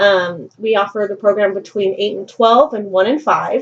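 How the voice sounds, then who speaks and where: A woman speaks at a fairly quick pace with a medium pitch. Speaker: social work student. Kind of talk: roleplay counseling session. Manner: fast.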